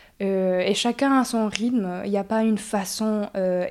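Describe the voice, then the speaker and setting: Her voice dark and mellow, a woman talks at medium pitch at a very slow pace with fairly even intonation. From Mexico (Mexico City, Oaxaca). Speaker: breathwork facilitator. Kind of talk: interview.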